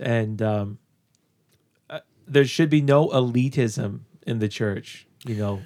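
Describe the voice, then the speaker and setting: A dark, mellow voice moves very slowly with ordinary pitch variation and long, frequent pauses, on a very clean recording with a silent background. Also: man, medium pitch for a man. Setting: in-person studio.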